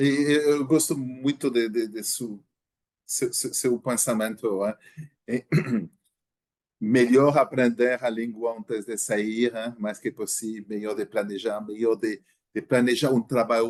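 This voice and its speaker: A man speaks at a medium pitch with a non-native accent. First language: not Portuguese (speaking Portuguese). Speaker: podcast host. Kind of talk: casual interview. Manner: halting, many repeated words.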